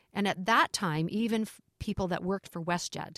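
Heard on a very clean recording with a silent background, a woman with a Canadian accent uses a normal speaking voice at a moderate pace with ordinary pitch variation. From Canada. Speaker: airline culture executive. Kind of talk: interview.

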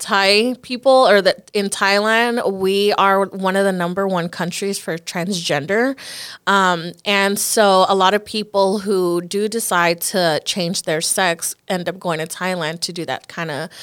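Speaking at a fairly slow pace, a woman uses an unremarkable speaking voice of medium pitch with fairly even intonation. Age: 20s. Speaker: podcast host. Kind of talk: casual chat.

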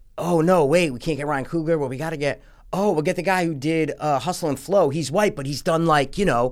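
A man speaks with fairly high pitch and ordinary pitch variation. His pace is fairly quick, and he has an unremarkable speaking voice. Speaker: movie review podcast co-host. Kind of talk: casual chat.

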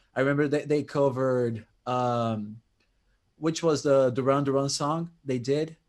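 Using a normal speaking voice, this man keeps a moderate pace, a medium pitch, and fairly even intonation. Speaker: prog rock music commentator. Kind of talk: casual chat.

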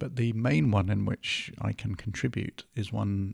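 A fairly low-pitched man's voice in an English accent, with vocal fry, ordinary pitch variation, and a dry, close sound without echo. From northern England. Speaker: podcast host and producer. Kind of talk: casual chat.

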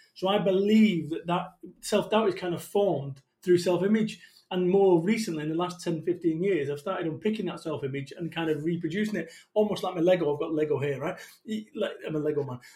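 The speech moves at a fairly quick pace, with a dark, mellow tone and ordinary pitch variation. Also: man, high pitch for a man. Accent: Mancunian. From northern England, Salford, Manchester. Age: 40s. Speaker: motivational business speaker. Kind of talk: podcast interview. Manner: animated.

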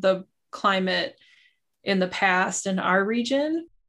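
A woman with an Upper Midwest accent speaks at a medium pitch, using ordinary pitch variation against a quiet background. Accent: Upper Midwest American. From southeastern Wisconsin. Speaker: glacial geologist. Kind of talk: interview.

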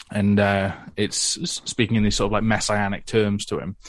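In a British accent, a man speaks at a moderate pace with fairly even intonation over a quiet background. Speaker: comic creator and podcaster. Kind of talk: casual chat.

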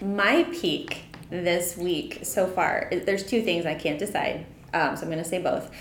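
Delivered at a fairly slow pace, the speech carries audible room echo over noticeable background noise. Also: woman, medium pitch for a woman, ordinary pitch variation. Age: 40s. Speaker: coworker guest. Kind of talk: casual chat.

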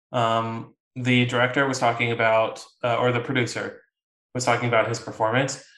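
With a bright, sharp tone, a man speaks at a fairly quick pace in a monotone, flat way, with audible room echo. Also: medium pitch for a man. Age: 20s. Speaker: podcast co-host. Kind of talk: casual chat.

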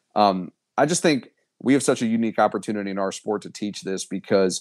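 A man at a fairly low pitch and a fairly quick pace, in a very clean recording with a silent background. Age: 30s. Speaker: college baseball head coach. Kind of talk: interview. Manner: halting.

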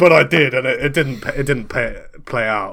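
The tone is bright and sharp, in an Edinburgh accent. The pace is moderate, with ordinary pitch variation. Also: man. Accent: Scottish (Edinburgh). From Scotland, Edinburgh. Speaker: comedy podcast co-host and player. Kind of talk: improv role-play game, casual chat.

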